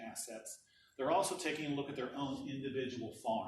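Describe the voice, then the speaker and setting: Noticeable background noise and audible room echo around a man's fairly high-pitched voice. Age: 60s. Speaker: energy policy director. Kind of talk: presentation.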